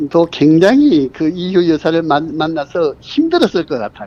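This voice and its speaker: A man with a high-pitched voice and lively intonation. He speaks at a fairly slow pace. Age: 70s. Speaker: citizen journalist, retired high school Korean teacher. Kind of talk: interview answer. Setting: phone line.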